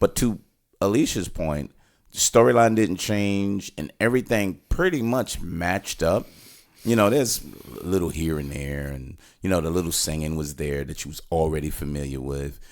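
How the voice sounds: At a moderate pace, a man speaks with a low pitch and ordinary pitch variation.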